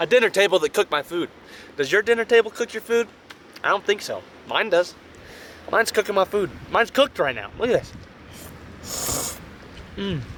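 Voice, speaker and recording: Over noticeable background noise, the speaker talks in an animated tone at a fairly quick pace, with ordinary pitch variation and long, frequent pauses. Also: man, high pitch for a man. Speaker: outdoor vlogger. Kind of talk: casual vlog. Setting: outdoors by a lake, car camping.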